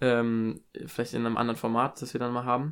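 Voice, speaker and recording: This man's voice sits at a medium pitch, captured in a very clean recording with a silent background. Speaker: podcast co-host, university student. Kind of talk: casual chat. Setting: home recording in a bedroom. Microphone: new second microphone.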